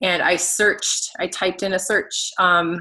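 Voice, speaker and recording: At a fairly slow pace, a woman speaks at a medium pitch in a monotone, flat way, her tone bright and sharp. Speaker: fitness coach. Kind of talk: training talk to team.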